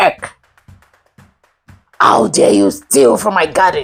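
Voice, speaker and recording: A bellowing put-on character voice at a fairly slow pace, with faint music in the background. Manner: bellowing, furious.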